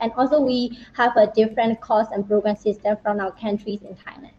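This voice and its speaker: A woman's fairly high voice comes through with noticeable background noise. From Myanmar. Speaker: university student. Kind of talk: panel discussion. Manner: halting.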